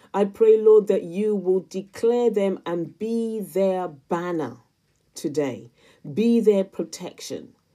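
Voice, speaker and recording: A woman talks at a very slow pace in a dark, mellow tone with ordinary pitch variation. The background is quiet. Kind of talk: intercessory prayer spoken aloud for viewers, addressed to God. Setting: solo recorded video. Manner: fervent and pleading, repeatedly invoking Lord and Father God; earnest, repetitive cadence layering parallel phrases. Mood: earnest, fervent. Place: home room. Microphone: phone near.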